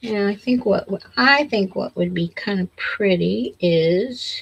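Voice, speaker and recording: A woman mumbling at a very slow pace. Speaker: crafter. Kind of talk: tutorial.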